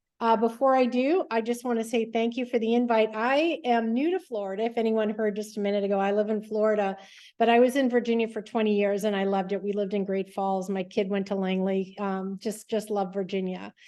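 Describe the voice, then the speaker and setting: A woman talks at a fairly quick pace with hardly any pauses, her fairly high voice carrying a dark, mellow tone. Her intonation stays fairly even, and the background is quiet. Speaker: public policy expert and presenter. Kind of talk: online presentation. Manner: fast.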